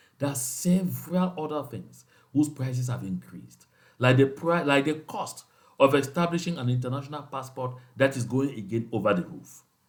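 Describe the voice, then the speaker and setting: A man's fairly high, somewhat breathy voice at a moderate pace, ordinary pitch variation, big swings in loudness. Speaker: activist leader addressing movement supporters. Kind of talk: political address to supporters. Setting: outside his usual station, remote recording. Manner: impassioned.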